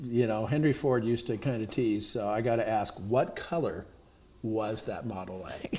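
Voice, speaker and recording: At a moderate pace, a man talks in an ordinary speaking voice with medium pitch and ordinary pitch variation. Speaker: TV news feature host. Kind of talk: interview questions.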